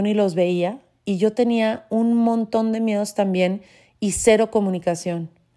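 On a very clean recording with a silent background, a woman speaks fairly slowly with a dark, mellow tone, fairly high pitch and fairly even intonation. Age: 40s. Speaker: podcaster. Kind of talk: personal monologue.

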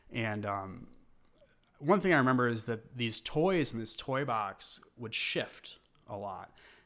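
Using lively intonation, a man with an American accent speaks at medium pitch and a fairly slow pace. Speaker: artist. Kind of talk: casual interview, personal storytelling. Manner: halting, many fillers.

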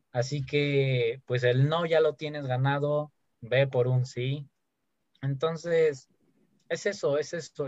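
A man speaks in a fairly high pitch, somewhat breathy. His intonation stays fairly even. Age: 20s. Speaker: podcast host. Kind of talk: casual chat.

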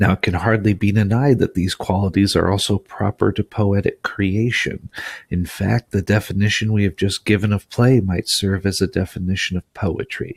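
The somewhat breathy voice keeps a moderate pace with hardly any pauses and fairly even intonation, recorded very cleanly with a silent background and a dry, close sound with no echo. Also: man, fairly low pitch for a man. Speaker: audiobook narrator. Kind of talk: literary audiobook reading, scripted narration of an essay. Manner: measured, formal, even-paced delivery.

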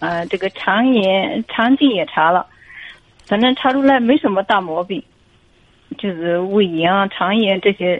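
A woman's medium-pitched voice with lively intonation and long, frequent pauses. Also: fairly slow pace. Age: 40s. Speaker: caller. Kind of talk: phone-in advice talk.

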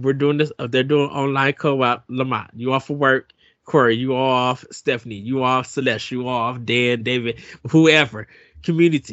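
A normal speaking voice from a man, medium in pitch, at a moderate pace and with fairly even intonation. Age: 40s. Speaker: podcast host. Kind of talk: casual chat.

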